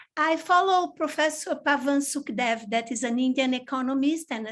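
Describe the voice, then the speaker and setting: Over a silent background in a very clean recording, a high-pitched woman speaks at a moderate pace. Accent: Portuguese. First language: Portuguese. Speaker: audience participant. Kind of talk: question to speaker. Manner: halting.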